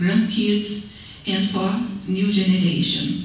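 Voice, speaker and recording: With a Brazilian accent and a medium pitch, a woman speaks very slowly amid noticeable background noise and audible room echo. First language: Portuguese. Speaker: city council candidate. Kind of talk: candidate forum speech. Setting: public meeting hall. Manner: halting.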